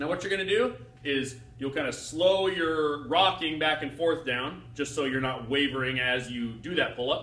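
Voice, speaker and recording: A man at a moderate pace, with audible room echo. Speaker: personal trainer. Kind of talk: tutorial. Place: gym. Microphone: camera far.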